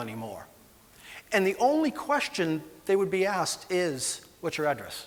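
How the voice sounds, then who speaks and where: A Boston accent at a moderate pace. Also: man. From Boston, Massachusetts. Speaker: animal welfare executive. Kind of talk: conference presentation. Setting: conference stage with audience. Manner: hesitant, many fillers.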